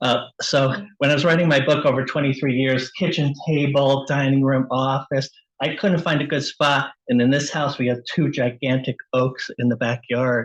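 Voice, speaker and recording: Fairly high in pitch, a man's voice keeps a moderate pace and fairly even intonation. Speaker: author. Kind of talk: casual chat. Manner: loud.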